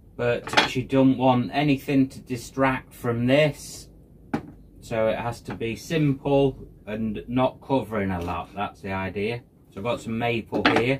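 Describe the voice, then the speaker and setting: There is noticeable background noise behind a man's voice. He speaks at a fairly slow pace with ordinary pitch variation. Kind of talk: casual vlog chat. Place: workshop. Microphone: phone near.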